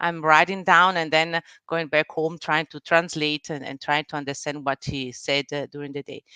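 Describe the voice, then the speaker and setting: In an Italian-Swiss accent, the speaker talks at a moderate pace in a bright, sharp tone with monotone, flat intonation, the sound dry and close with no echo over a quiet background. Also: woman. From Italian-speaking Switzerland (Ticino, Bellinzona). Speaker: business executive and board member. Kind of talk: interview. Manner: halting, many fillers and restarts.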